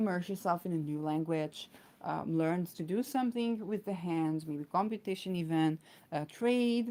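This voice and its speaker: A woman speaks with an Israeli accent and a fairly low pitch. Her tone is dark and mellow, with ordinary pitch variation. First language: Hebrew. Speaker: astrologer. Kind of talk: astrology talk. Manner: many fillers and hesitations.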